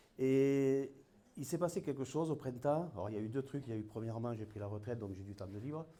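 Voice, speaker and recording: Very fast speech from a man with a dark, mellow tone, audible room echo around it. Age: 60s. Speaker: municipal election candidate. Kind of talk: campaign speech. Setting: public hall meeting.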